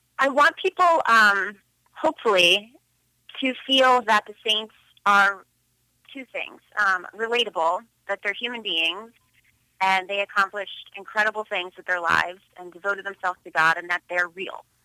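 With a bright, sharp tone, a woman talks at a medium pitch with ordinary pitch variation and big swings in loudness. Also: moderate pace. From Philadelphia, Pennsylvania. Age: 30s. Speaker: photographer. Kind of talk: radio interview. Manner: hesitant, many fillers.

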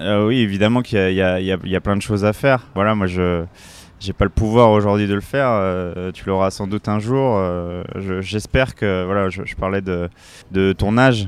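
Here a man speaks at a moderate pace and fairly low pitch, keeping his intonation fairly even. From Paris suburbs, Seine-Saint-Denis (La Courneuve). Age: 30s. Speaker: former pro cyclist, adventurer. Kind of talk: casual interview. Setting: café. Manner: halting, many repetitions.

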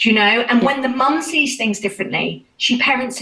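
A woman in a British accent, fairly quick, with ordinary pitch variation. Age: 40s. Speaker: children's music educator and hypnotherapist. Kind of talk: interview.

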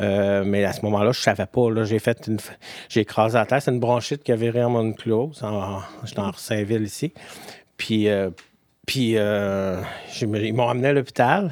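A man with a Quebec accent speaks at a moderate pace, fairly low in pitch with fairly even intonation. The recording is very clean and the background silent. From Quebec City, Beauport. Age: 50s. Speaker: person living with HIV. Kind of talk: personal testimony interview. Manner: halting, many fillers.

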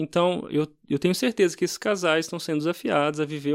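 The recording is very clean, with a silent background. A man with a fairly high pitch talks at a fairly quick pace. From Brazil, Minas Gerais. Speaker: pastor. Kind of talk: casual chat.

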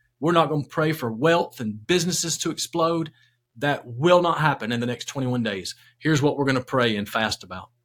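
A man with a fairly high pitch speaks at a fairly quick pace in a normal speaking voice. The recording is very clean, its background silent. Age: 50s. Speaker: executive pastor and author. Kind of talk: interview about faith.

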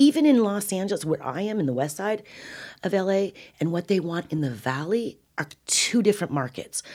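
Recorded very cleanly against a silent background, a woman with an American accent speaks at a medium pitch and a fairly quick pace, her pitch swinging very widely. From California. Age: 50s. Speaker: cannabis advocate. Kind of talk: interview.

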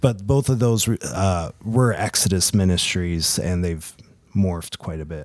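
Speaking fairly slowly, a man uses a very deep, low pitch with ordinary pitch variation. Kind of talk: casual conversation, personal storytelling.

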